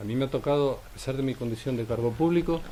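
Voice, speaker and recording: Very fast and somewhat breathy, a man speaks with a dark, mellow tone. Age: 60s. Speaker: politician. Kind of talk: press conference statement. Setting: press conference at a cultural centre.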